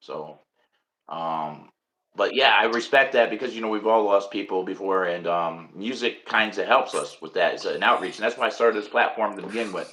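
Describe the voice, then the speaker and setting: Speaking with a New York accent at a moderate pace, a man has a fairly low pitch, a bright, sharp tone and ordinary pitch variation. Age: 50s. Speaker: podcast host. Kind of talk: casual interview.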